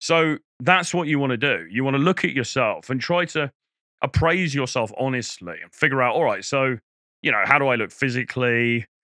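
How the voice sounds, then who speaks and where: A man with a British accent speaks at medium pitch and a fairly quick pace. His tone is bright and sharp, his pitch varies in an ordinary way, and the background is quiet. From England. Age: middle-aged. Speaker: dating coach. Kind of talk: casual monologue to camera. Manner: conversational, many fillers and restarts.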